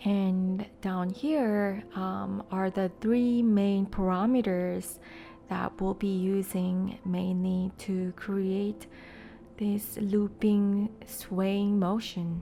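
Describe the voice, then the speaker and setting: Soft-spoken and calm in a relaxed tone, a woman talks at a very slow pace with a medium pitch and fairly even intonation. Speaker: digital artist. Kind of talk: soft-spoken software tutorial narration. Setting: voiceover recorded over screen capture. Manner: soft-spoken, calm, relaxed.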